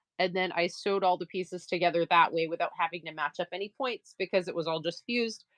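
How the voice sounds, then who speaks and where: With a slight Maine accent, a fairly low-pitched woman speaks in an animated tone at a very fast pace with hardly any pauses. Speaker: livestream crafter and seller. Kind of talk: casual livestream chat while sewing.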